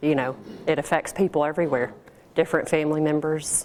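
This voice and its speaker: A woman with a very deep, low pitch and an American accent. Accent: slight country. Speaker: professional organizer, small business owner. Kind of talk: business seminar talk with Q&A. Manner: casual, conversational.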